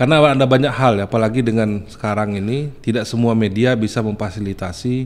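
Talking at a fairly quick pace, a man uses a fairly low pitch with ordinary variation. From Bengkulu, Indonesia; Indonesia. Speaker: journalist association candidate. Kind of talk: podcast interview. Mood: calm, reflective. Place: studio. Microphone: studio mic.

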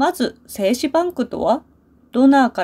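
Recorded very cleanly over a silent background, a woman speaks high in pitch with a dark, mellow tone and lively intonation. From Japan. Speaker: Japanese language teacher. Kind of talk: scripted narration for language learners. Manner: clear and slow.

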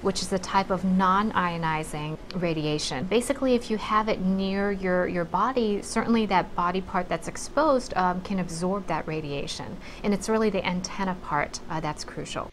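A woman talks at a moderate pace with hardly any pauses and ordinary pitch variation, over light background noise. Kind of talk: interview answer. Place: office.

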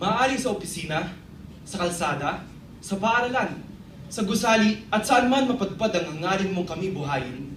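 A high-pitched man speaks at a moderate pace over noticeable background noise. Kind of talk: spoken word poetry, performed tribute. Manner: rhythmic, heartfelt, measured delivery.

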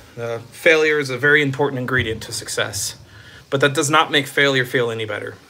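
A man with an American accent at a very fast pace, his loudness swinging widely. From Texas. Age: 30s. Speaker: streamer. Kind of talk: live stream chat. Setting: on a treadmill. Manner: animated. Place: home room. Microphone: phone near.

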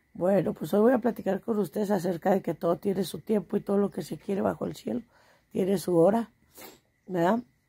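A woman talks fairly quickly in a dark, mellow tone. Her voice is somewhat breathy, with ordinary pitch variation. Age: 40s. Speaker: vlogger, small market trader; vlogger. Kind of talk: casual monologue to camera. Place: home room. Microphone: phone near.

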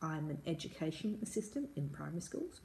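Speaking at a moderate pace in an Australian accent, a woman with a very deep, low pitch sounds somewhat breathy, with ordinary pitch variation and light background noise. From Perth, Western Australia. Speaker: English tutor. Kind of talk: tutor introduction to camera. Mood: friendly, warm. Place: home room. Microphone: phone near.

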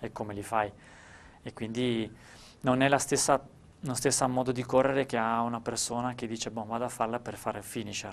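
Speaking at a fairly quick pace in a flat monotone, the man leaves long, frequent pauses. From Friuli, Italy (Gemona); Friuli, Italy. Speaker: ultra trail runner. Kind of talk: interview. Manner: halting, with repeated words. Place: studio. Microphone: lapel.

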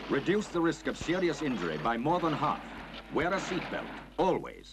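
Noticeable background noise sits behind a man speaking at a moderate pace. His loudness stays very even. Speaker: voice-over announcer. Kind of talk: public information film voice-over.

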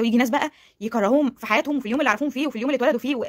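Against a quiet background, a woman speaks at a very fast pace in an animated tone. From Egypt. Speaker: YouTuber. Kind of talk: motivational vlog talk. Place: home room. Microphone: phone near.

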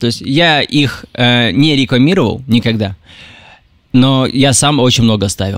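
A man speaks in a normal speaking voice. His pitch is medium, with ordinary variation. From Russia. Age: 20s. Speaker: TikTok creator. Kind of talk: interview.

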